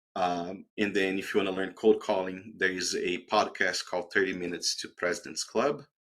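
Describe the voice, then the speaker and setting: This man has a very deep, low pitch and a non-native accent. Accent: foreign. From outside the US, immigrant. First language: not English. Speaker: tech sales professional, alum. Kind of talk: career advice talk in online webinar. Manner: conversational, with fillers.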